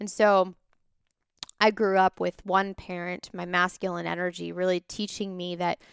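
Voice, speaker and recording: At a moderate pace, a woman of medium pitch speaks in a normal speaking voice, recorded very cleanly against a silent background with a dry, close sound and no echo. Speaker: business coach and podcast host. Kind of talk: personal testimony monologue.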